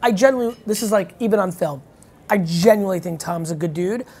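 In a raspy, put-on character voice, the speaker keeps a moderate pace. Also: female-sounding voice, medium pitch for a woman. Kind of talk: casual. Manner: stammering, hesitant.

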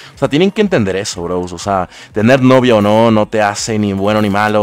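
Amid noticeable background noise, a man with a fairly low pitch speaks at a moderate pace in an animated tone. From Ecuador. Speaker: gaming streamer. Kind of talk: live gameplay commentary.

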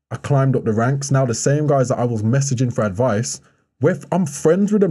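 A somewhat breathy, dark and mellow voice with lively intonation at a very fast pace, against a quiet background. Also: man. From Birmingham, England. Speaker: professional basketball player and model; podcast guest. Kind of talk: casual interview chat. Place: studio. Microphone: studio mic.

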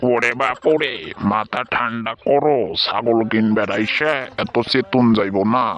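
A man uses a cartoonish character voice at a medium pitch, speaking at a very slow pace. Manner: exclaims 'oh my father' often.

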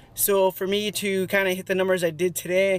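At a moderate pace, the voice comes through with a dry sound and no echo. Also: man. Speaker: fitness vlogger. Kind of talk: casual vlog chat. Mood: relaxed, content. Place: car. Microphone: phone near.

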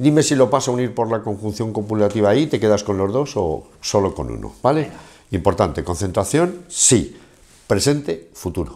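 A man's fairly low voice, dark and mellow in tone with vocal fry, at a moderate pace over a quiet background. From Spain, Castilla-La Mancha (Ciudad Real); Castilla-La Mancha, Spain. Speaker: interviewer, business show host. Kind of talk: interview. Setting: bar set. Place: studio. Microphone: lapel.

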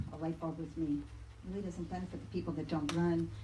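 Somewhat breathy and fairly low-pitched, a woman speaks at a very fast pace amid audible room echo. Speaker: public commenter, race organizer. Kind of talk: public comment at council meeting. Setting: city council meeting.

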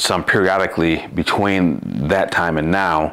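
The man's voice is very deep and low. His intonation stays fairly even. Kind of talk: tutorial. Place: workshop.

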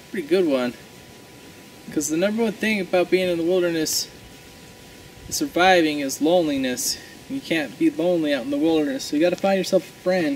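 A man with a high pitch speaks at a fairly quick pace, his loudness swinging widely over light background noise. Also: lively intonation. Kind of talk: comedic tutorial monologue. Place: forest. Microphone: camera far.

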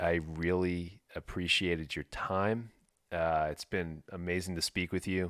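In an American accent, a man speaks at a fairly slow pace with a very deep, low pitch and fairly even intonation, on a very clean recording with a silent background and a dry, close sound with no echo. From New York. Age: 40s. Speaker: podcast host. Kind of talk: casual chat.

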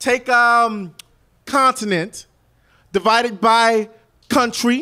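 Bright and sharp in tone, a man with a high pitch speaks in a raised, projected, animated voice. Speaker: slam poet. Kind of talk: spoken word poem performance. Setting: stage with audience. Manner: animated, emphatic; rhythmic, pointed delivery.

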